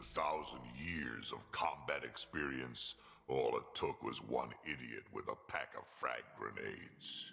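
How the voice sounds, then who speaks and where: Clear background noise runs under the speech. A man uses a put-on character voice at a fairly slow pace. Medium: video game. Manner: gruff, blunt.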